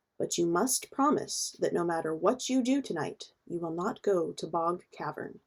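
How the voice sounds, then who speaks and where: Using a put-on character voice at a medium pitch, a woman talks at a moderate pace with hardly any pauses. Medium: read story.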